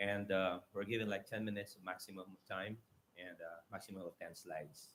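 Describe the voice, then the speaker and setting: This man's pitch is fairly low, and his intonation is monotone and flat. He speaks at a fairly quick pace. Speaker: mayor. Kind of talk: conference presentation. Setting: auditorium stage. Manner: fast.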